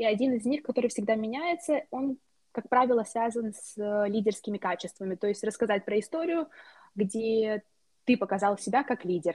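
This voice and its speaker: A woman with a fairly high pitch and a somewhat breathy sound talks at a moderate pace. Her pitch variation is ordinary, and the background is quiet. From Moldova. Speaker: university student. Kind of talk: interview.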